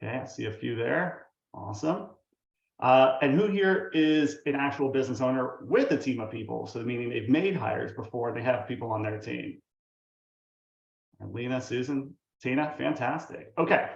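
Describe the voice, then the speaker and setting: The voice has vocal fry and moves at a moderate pace, with audible room echo. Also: man, medium pitch for a man, ordinary pitch variation. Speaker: company founder and CEO presenting. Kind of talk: webinar presentation. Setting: video call. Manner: animated.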